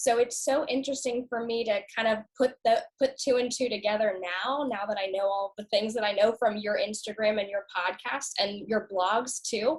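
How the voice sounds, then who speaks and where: In an ordinary speaking voice, a woman with a fairly high pitch talks at a moderate pace with ordinary pitch variation. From US South, Norfolk, Virginia. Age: 20s. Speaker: customer sharing health story. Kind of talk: casual interview.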